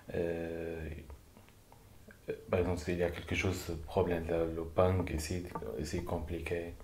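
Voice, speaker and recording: At a very slow pace, a man with a very deep, low pitch and a dark, mellow, somewhat breathy tone speaks in flat, monotone intonation amid audible room echo. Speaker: vocational trainee. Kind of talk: testimony. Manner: halting.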